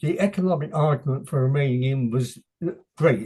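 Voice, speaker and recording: A man with an English accent, somewhat breathy, at a moderate pace. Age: 80s+. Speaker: author. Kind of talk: interview. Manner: halting.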